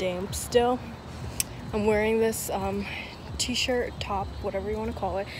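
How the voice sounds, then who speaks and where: Woman's voice in a dry sound with no echo, noticeable background noise behind it. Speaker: vlogger. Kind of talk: casual vlog chat. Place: street. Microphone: phone near.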